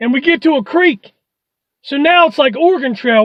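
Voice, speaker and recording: The voice is high in pitch and moves at a moderate pace. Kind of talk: stand-up comedy storytelling. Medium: solo performance. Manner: fast, rambling, wry.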